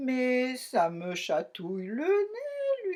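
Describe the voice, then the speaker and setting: A woman puts on a character voice pitched high. She delivers it at a very slow pace. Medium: read story.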